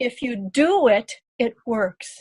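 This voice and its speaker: A woman's high-pitched voice, dark and mellow in tone, with a dry, close sound and no echo. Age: 70s. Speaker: customer giving a testimonial. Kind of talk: testimony.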